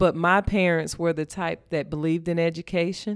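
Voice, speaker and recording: A woman with a Mississippi accent speaks at a moderate pace and a fairly low pitch. Her intonation is monotone and flat, on a very clean recording with a silent background. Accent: Mississippi Southern. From US South, northeast Mississippi. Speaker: school principal. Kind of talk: interview.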